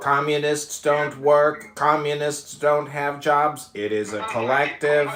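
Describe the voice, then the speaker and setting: A man puts on a robotic character voice, fairly high in pitch, speaking at a fairly slow pace with hardly any pauses. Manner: monotone, robotic.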